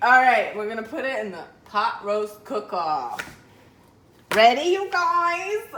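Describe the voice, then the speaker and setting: A woman at a high pitch, very slow, with long, frequent pauses, very wide pitch swings and big swings in loudness, amid noticeable background noise and audible room echo. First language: Spanish. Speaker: home cook vlogger. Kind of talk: cooking tutorial. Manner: casual, code-switching Spanish and English.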